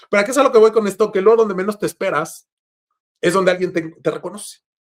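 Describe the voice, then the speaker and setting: A man with a high pitch talks at a very fast pace, his pitch varying in an ordinary way. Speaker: car content creator, podcast guest. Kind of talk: casual interview chat. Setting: video call.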